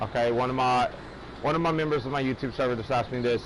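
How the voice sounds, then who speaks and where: Fairly level intonation, with background noise clearly heard. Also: man. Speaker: gaming livestreamer. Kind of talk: casual live stream chat. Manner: loud.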